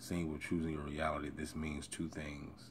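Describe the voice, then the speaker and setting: A man speaks softly at a fairly slow pace, his very deep, low voice somewhat breathy, with audible echo in the room. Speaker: self-help video creator. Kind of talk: reading aloud with commentary. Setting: early morning recording. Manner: soft-spoken.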